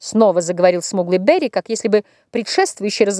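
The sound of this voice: Unforced voice, reading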